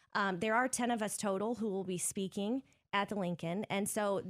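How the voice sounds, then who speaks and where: Her pitch sits in the medium range, and the woman varies it in an ordinary way. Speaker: school librarian and Instagram creator. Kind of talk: casual interview chat. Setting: studio. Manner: dry, upbeat humor.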